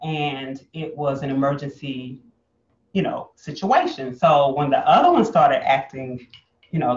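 A man speaks at a moderate pace in a somewhat breathy voice. There is audible room echo and light background noise. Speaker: guest. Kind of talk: interview answer. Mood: warm, personal storytelling. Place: home room. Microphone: camera far.

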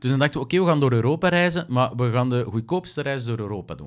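A man with a Flemish accent, medium-pitched, lively in intonation, very fast, against a quiet background. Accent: Flemish Dutch. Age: 30s. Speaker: actor, presenter and magician; podcast guest, actor. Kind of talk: casual chat. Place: studio. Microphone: studio mic.

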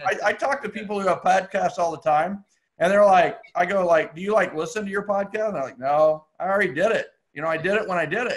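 A man speaks at a high pitch. The background stays quiet. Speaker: podcast host. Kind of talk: casual podcast chat. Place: home room. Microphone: earbuds.

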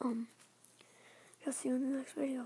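Someone whispers quietly. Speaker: gaming vlogger. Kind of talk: casual vlog talk to camera. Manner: half-whispered, quiet. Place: home room. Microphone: phone near.

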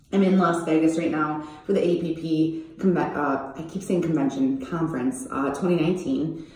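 A woman speaks at a fairly low pitch. Audible room echo surrounds her voice. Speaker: brand vlogger. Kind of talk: casual vlog chat. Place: bathroom. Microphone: phone near.

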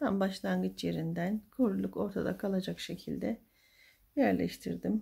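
Soft-spoken, a woman talks at a fairly slow pace against a quiet background. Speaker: crochet tutorial youtuber; crochet tutor. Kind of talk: tutorial. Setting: home at night. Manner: halting. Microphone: phone near.

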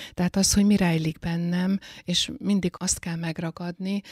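A woman's somewhat breathy, fairly low-pitched voice with fairly even intonation at a moderate pace, in a dry, close sound with no echo. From Hungary, Eger. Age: 60s. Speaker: librarian. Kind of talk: interview.

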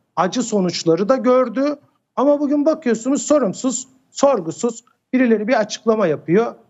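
At a moderate pace, a man talks with an extremely high pitch, lively intonation and very even loudness. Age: 50s. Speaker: security expert. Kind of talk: TV interview. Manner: hesitant with many fillers.

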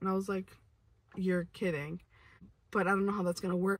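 A woman speaks in a somewhat breathy voice. The sound is dry, with no echo. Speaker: vlogger. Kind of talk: casual storytime vlog chat. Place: car. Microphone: phone near.

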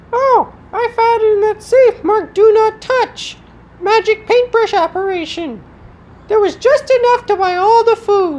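The pitch is extremely high. The pace is moderate. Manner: eager, goofy, cheerful.

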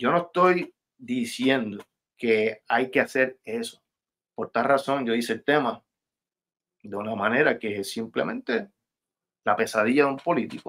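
Pausing long and often, a man with a medium-pitched voice talks at a fairly slow pace with ordinary pitch variation over a quiet background. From Puerto Rico, Levittown; Puerto Rico. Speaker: rapper; guest. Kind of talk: interview. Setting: video call. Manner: halting, many repetitions. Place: home room.

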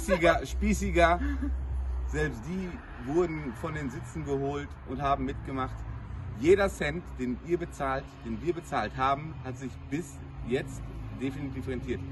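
There is noticeable background noise behind the man. He speaks with long, frequent pauses. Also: fairly slow pace. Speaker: groom giving a wedding testimonial. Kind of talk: casual testimonial to camera. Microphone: camera far.

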